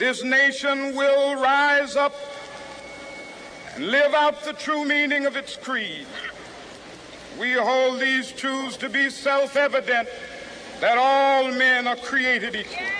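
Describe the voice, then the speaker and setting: In an American accent, a man uses a raised, projected voice at an extremely high pitch with fairly even intonation. He goes at a very slow pace with long, frequent pauses, and noticeable background noise is present. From United States. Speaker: civil rights activist, Baptist minister. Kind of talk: public speech to a large outdoor crowd. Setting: outdoors, public address system. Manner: oratorical, rhythmic, rising intensity.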